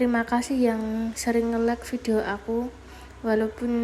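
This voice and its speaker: This woman's voice is fairly high, and her pace is moderate. Noticeable background noise is present. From Java, Indonesia. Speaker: vlogger and housewife. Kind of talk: casual vlog voiceover. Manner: casual, somewhat halting.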